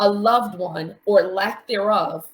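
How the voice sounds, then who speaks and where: In a fairly high, somewhat breathy voice, a woman with an American accent speaks at a fairly slow pace. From New York City. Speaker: mental health coach, support group facilitator. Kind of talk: live stream interview.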